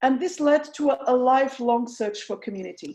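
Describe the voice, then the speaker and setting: A woman with a strong Portuguese accent speaks at a moderate pace and a high pitch, her tone dark and mellow and her pitch variation ordinary, against a quiet background. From Portugal, south (tourist region). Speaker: researcher. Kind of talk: online presentation. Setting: video call. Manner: halting.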